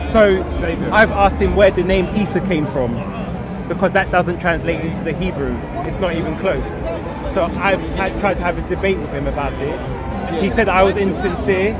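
Loud background noise surrounds a man speaking at a moderate pace. The sound itself is dry, with no echo. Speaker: debater in the crowd. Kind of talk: street debate explanation. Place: street. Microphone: camera far.

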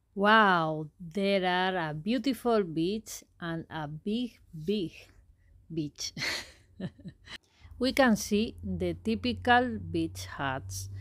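A woman with a Spanish accent speaks at a very slow pace, leaving long, frequent pauses. The recording is very clean, with a silent background. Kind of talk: casual travel vlog narration. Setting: outdoors.

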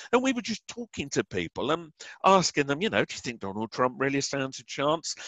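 Speaking with an English accent, a man talks at a fairly quick clip with lively intonation. The sound is dry and close with no echo, against a quiet background. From England. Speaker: author and researcher of conspiracies and crop circles. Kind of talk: interview.

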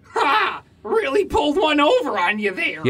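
The high-pitched voice is a put-on character voice with very wide pitch swings. It moves at a moderate pace. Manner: smug, teasing.

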